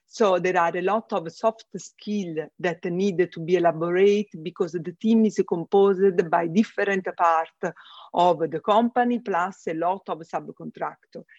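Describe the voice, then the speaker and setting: Speaking at a fairly slow pace, a woman with a strong Italian accent keeps a medium pitch and fairly even intonation in a dry, close sound with no echo. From Italy. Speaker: space systems engineer. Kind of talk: casual interview conversation. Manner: halting, with fillers.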